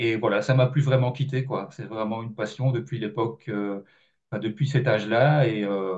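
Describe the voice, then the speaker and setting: This man's voice is somewhat breathy. Its pitch lands in the medium range. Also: ordinary pitch variation, moderate pace. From Belgium. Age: 50s. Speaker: journalist and author. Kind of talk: interview. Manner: hesitant, many fillers.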